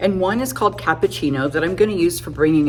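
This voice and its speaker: Over noticeable background noise, a woman talks at a fairly quick pace with lively intonation. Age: 50s. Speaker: makeup artist. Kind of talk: tutorial. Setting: home makeup studio. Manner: casual, chatty.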